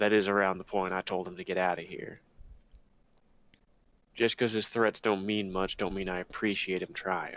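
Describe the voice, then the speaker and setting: A man in a put-on character voice, gruff and rumbling, fairly low in pitch, at a moderate pace with long, frequent pauses and monotone, flat intonation. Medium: actual play. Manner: gruff, terse, grumbling.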